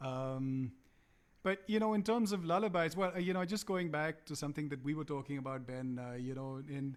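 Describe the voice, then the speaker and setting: With a Punjabi accent, a man talks at a fairly quick pace and fairly high pitch, his intonation lively. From India, Calcutta. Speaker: musician. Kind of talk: casual chat. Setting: live stream. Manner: halting.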